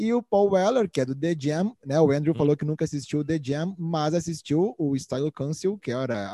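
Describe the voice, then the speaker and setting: A man with a southern Brazilian accent talks very fast at a fairly high pitch, his dark, mellow tone and lively intonation heard in a dry, close sound with no echo over a quiet background. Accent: Brazilian Portuguese (gaúcho). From southern Brazil (Rio Grande do Sul). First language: Portuguese. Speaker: podcast co-host. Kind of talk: casual chat. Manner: halting in English.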